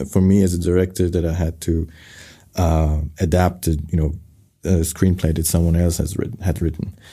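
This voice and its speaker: A man with a Persian accent talks at a moderate pace, his very deep, low voice dark and mellow in tone. His delivery is somewhat breathy, with fairly even intonation. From Iran, Tehran; moved to Germany at 12. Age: 30s. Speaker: film director. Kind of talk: interview. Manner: halting, many fillers.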